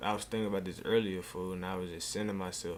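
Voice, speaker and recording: A man with a very deep, low pitch speaks fairly quickly with fairly even intonation. Audible room echo surrounds his voice. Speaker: streamer. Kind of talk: casual chat. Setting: live stream. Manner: soft-spoken.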